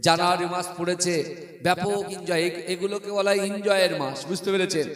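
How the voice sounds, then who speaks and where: A man talks at a high pitch. His intonation is monotone and flat. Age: 30s. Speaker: Islamic preacher. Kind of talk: sermon. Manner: loud.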